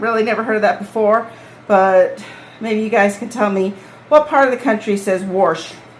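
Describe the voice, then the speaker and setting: In a New England accent, a woman at a fairly high pitch speaks at a moderate pace with ordinary pitch variation and long, frequent pauses. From New England, US. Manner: conversational.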